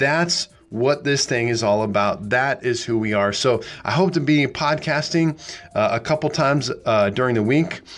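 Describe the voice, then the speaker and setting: A man with a normal speaking voice and an American accent, fairly high in pitch, at a moderate pace with ordinary pitch variation and very even loudness. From US Midwest, small-town Nebraska. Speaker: pastor. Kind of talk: solo podcast talk, sermon-like. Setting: small studio.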